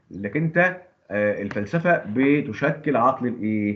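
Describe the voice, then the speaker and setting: A man at a fairly slow pace, with lively intonation and audible room echo. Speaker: teacher. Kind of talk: lecture.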